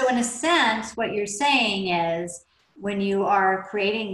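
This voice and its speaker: Audible room echo surrounds a woman's voice. She has an American accent and ordinary pitch variation. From Oklahoma. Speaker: podcast host and business mentor. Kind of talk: interview.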